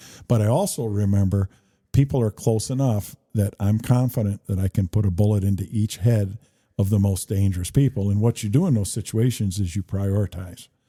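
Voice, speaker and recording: A man speaks fairly quickly in a fairly low, somewhat breathy voice with a dark, mellow tone and fairly even intonation. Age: 60s. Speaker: political candidate, retired police chief. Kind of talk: casual interview. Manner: halting, many fillers.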